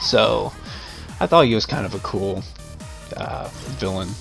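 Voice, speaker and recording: With music in the background, a man speaks at a fairly slow pace and with fairly even intonation. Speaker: gamer. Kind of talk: casual gameplay commentary. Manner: casual, conversational.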